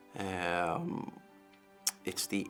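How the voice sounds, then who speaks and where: Music plays in the background as a man with an American accent speaks in a very deep, low pitch. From Dublin, Ireland. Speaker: liver transplant patient. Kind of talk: interview answer.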